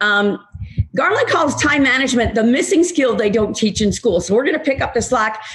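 Speaking at a moderate pace, a woman uses lively intonation. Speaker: webinar host introducing a guest. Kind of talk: host introduction. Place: home room. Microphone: webcam.

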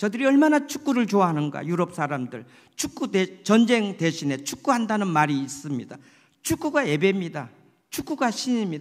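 Against a quiet background, a man speaks in a high voice. His pitch swings very widely. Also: moderate pace. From South Korea. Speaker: pastor. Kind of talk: sermon. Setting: church. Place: church. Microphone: podium.

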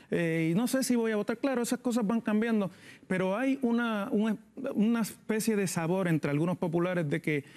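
A man's high-pitched voice at a moderate pace, with ordinary pitch variation and very even loudness. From Puerto Rico. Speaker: political analyst. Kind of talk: TV panel discussion; political discussion commentary. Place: studio. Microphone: lapel.

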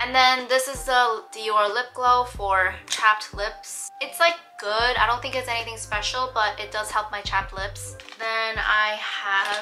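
The intonation is fairly even, with clear music in the background. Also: woman. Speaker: lifestyle vlogger. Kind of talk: casual vlog chat. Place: home room. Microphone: camera far.

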